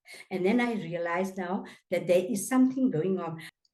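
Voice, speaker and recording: With audible room echo around her, a woman talks at a medium pitch in a dark, mellow tone with ordinary pitch variation. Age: 80s+. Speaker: anti-apartheid activist. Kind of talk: interview testimony. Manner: halting.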